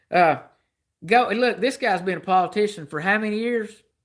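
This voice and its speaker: A man's high, bright, sharp voice with a Southern US accent, animated in tone and fairly slow in pace. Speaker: livestreamer. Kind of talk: political rant on livestream. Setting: live stream.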